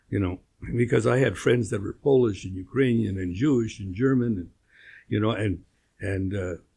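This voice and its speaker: On a very clean recording with a silent background, a man with a Canadian accent speaks with a fairly low pitch, a somewhat breathy sound and a dark, mellow tone. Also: ordinary pitch variation, moderate pace. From Winnipeg, Canada. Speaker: interviewee, retired apparel businessman. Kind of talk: interview. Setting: studio. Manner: hesitant, many fillers.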